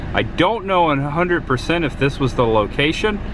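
Clear background noise sits behind a man whose fairly high pitch carries lively intonation at a moderate pace.

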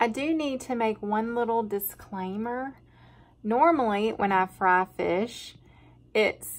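Speaking very slowly, a woman delivers her words. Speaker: farm wife vlogger. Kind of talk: casual vlog chat. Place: kitchen. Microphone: phone near.

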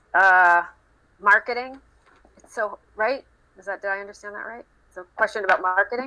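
A woman speaks at a moderate pace in a bright, sharp tone. Her pitch varies in an ordinary way, and her loudness swings widely. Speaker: social enterprise founder; guest. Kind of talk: online panel discussion. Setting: online group call. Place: office. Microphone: video call.

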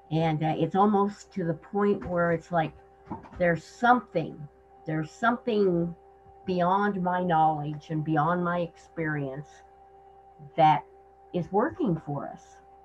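A woman with an American accent speaks at a fairly slow pace, with long, frequent pauses. Her pitch is fairly low with ordinary variation, over light background noise. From Nebraska. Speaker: gardener and historian. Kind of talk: introduction on a group call. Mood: reflective, warm. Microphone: video call.

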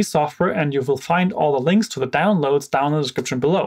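A man talks at a fairly quick pace with ordinary pitch variation. His tone is slightly mellow.

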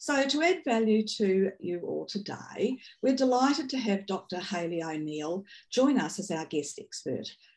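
A woman's fairly slow, somewhat breathy speech with very wide pitch swings. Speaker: webinar co-host. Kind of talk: webinar introduction and moderating. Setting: video call. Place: home room. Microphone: video call.

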